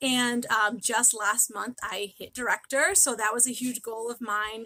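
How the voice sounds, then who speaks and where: A woman with an American accent and a bright, sharp tone speaks at a moderate pace, with a dry, close sound and no echo. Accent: New England accent, stronger when nervous. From New England, Massachusetts. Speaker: direct sales leader. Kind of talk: live training stream. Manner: frequent ums.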